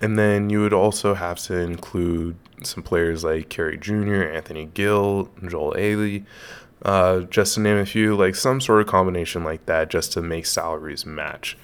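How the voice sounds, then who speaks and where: With an American accent, a man speaks at a very deep, low pitch and a moderate pace, his intonation fairly even, on a very clean recording with a silent background. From US West Coast, Los Angeles. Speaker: sports podcaster. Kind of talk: solo podcast commentary. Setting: home studio. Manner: casual with many filler words.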